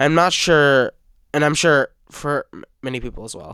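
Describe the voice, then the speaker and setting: The recording is very clean with a silent background, dry and close with no echo. A man speaks in a bright, sharp tone with ordinary pitch variation. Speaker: YouTuber. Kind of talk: video commentary. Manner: halting, many filler words.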